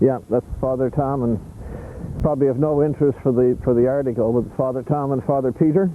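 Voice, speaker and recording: Over noticeable background noise, the speech runs at a fairly quick pace with very even loudness and fairly even intonation. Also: man, medium pitch for a man. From Canada, Prince Edward Island. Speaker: interviewee, family reunion member. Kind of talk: interview.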